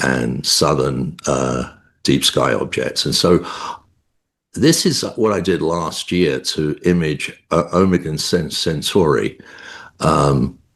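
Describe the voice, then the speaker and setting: In a London accent, a man speaks with a very deep, low pitch and vocal fry at a very slow pace. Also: ordinary pitch variation. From England, London. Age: 70s. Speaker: amateur astronomer. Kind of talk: interview. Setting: video call. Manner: halting.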